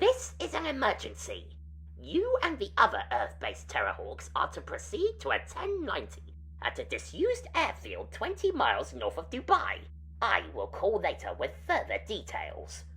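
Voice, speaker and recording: The speaker uses a put-on character voice at a moderate pace. Clear background noise can be heard. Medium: audio drama. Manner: clucking.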